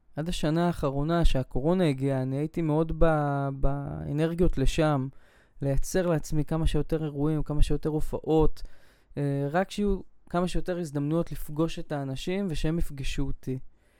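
Using a fairly high pitch and fairly even intonation, a man talks at a moderate pace in a dark, mellow tone. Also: very clean recording, silent background. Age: 20s. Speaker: podcast host. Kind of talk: personal monologue. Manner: hesitant, with filler sounds.

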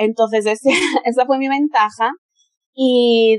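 Her pitch high and her intonation monotone and flat, a woman speaks at a very slow pace with a dry, close sound with no echo. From Spain. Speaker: model and adult content creator. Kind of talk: interview conversation.

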